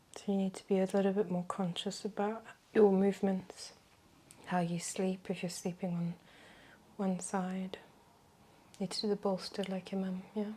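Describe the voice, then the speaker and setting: A soft-spoken woman at medium pitch, somewhat breathy, with a dark, mellow and calm, gentle tone, monotone and flat at a moderate pace, with long, frequent pauses. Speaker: reiki practitioner and wellness educator. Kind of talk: reiki session guidance. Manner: soft-spoken, calm, gentle.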